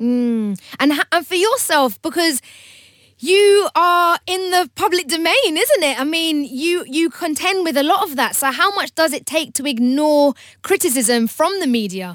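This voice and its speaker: Someone with a British accent speaks in an animated tone with very wide pitch swings. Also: woman, extremely high pitch for a woman. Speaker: radio host. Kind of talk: radio talk show. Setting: studio.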